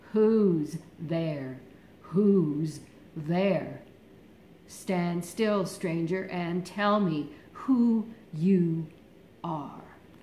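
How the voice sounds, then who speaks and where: A put-on character voice at a middle pitch moves at a very slow pace. Long, frequent pauses break up the speech. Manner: menacing, demanding.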